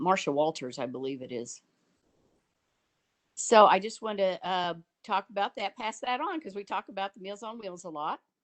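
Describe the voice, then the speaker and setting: A woman speaks at a moderate pace with vocal fry, long, frequent pauses, very wide pitch swings and big swings in loudness. The sound is dry and close with no echo, over a quiet background. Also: medium pitch for a woman. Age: 60s. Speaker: family caregiver giving public comment. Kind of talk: public comment in a virtual meeting. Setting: video conference call. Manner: hesitant, many fillers.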